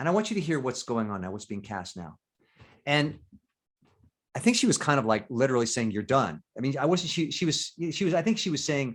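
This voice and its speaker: A man talks at a fairly quick pace in an animated tone with vocal fry. His fairly high pitch makes very wide swings. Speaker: actor and voiceover artist. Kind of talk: interview.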